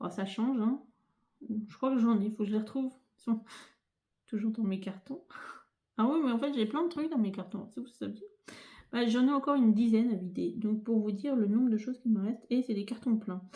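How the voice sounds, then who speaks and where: Soft-spoken and somewhat breathy, a woman with a fairly high pitch talks at a fairly quick pace with ordinary pitch variation and long, frequent pauses. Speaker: crafting youtuber. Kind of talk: tutorial. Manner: hesitant, many fillers. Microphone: no dedicated microphone, may sound quiet.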